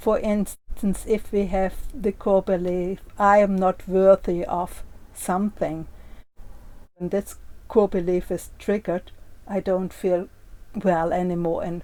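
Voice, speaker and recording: A woman's dark, mellow tone at medium pitch, fairly even in intonation, at a fairly slow pace with long, frequent pauses. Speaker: workshop facilitator. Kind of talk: tutorial.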